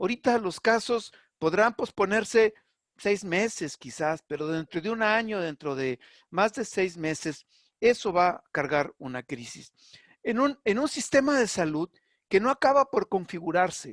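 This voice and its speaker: Against a quiet background, a man speaks at a fairly slow pace in a high pitch with very wide pitch swings. The sound is dry and close with no echo. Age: 60s. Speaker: public health specialist. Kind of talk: webinar panel discussion. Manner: halting, with repetitions.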